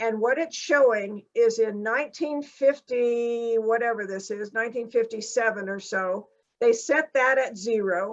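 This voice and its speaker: At a fairly slow pace with hardly any pauses, a woman uses a normal speaking voice, fairly high in pitch, with ordinary pitch variation. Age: 60s. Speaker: climate scientist. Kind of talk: lecture. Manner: casual, conversational.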